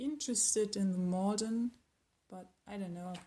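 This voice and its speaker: A woman speaks in a medium pitch with fairly even intonation. Her tone is dark and mellow, and somewhat breathy. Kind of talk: casual talk to camera. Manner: casual, hesitant.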